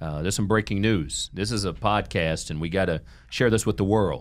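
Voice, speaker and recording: A man with a Midwestern American accent. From Ohio. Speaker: podcast host and nonprofit executive. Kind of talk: interview. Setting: studio. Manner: upbeat.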